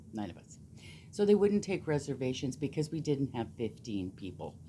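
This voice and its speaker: The tone is dark and mellow, delivered at a very fast pace. The speaker has a Canadian Prairies accent. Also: woman. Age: 60s. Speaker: knitting vlogger. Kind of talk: casual chat. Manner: animated.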